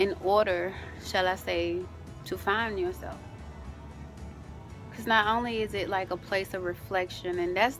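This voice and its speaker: A woman talks at a moderate pace while music runs behind her. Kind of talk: casual talk to camera.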